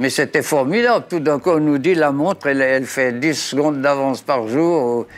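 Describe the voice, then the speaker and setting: Music plays in the background. A man with a fairly high voice speaks at a fairly slow pace. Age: 80s+. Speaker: retired watchmaker. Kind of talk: interview answer.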